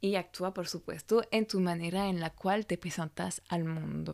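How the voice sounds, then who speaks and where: A woman with a French accent is heard on a very clean recording with a silent background. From France. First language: French (speaking Spanish). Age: 30s. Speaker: image coach and podcast host. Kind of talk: solo podcast monologue.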